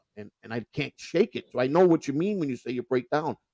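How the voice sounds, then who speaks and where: Speaking with a Chicago accent, a man has a fairly high pitch and a dark, mellow tone. His pace is fairly quick, and the sound is dry and close, with no echo. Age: 50s. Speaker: podcast host and former prisoner. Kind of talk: casual chat. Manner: halting.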